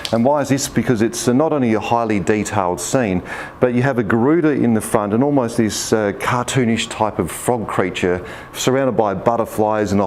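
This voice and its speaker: An Australian accent with ordinary pitch variation, over noticeable background noise. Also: man. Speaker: auctioneer and managing director of an auction house. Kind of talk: casual talk to camera, auction house showcase.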